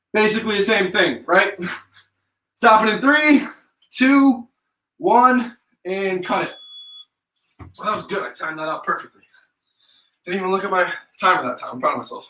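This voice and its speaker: A man speaks in a raised, projected voice with an American accent, pitched high with a bright, sharp tone. His intonation is lively, and he keeps a moderate pace broken by long, frequent pauses. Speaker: fitness instructor. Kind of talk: live workout instruction. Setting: live stream.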